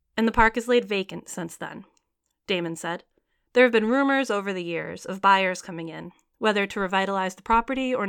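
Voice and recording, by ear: Someone reads aloud in a natural voice over a quiet background.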